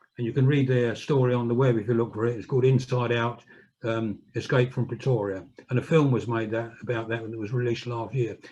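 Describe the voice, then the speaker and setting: A man talks very fast in a medium-pitched, somewhat breathy voice. His tone is dark and mellow, his intonation monotone and flat. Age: 70s. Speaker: political activist and author. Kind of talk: public talk. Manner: halting.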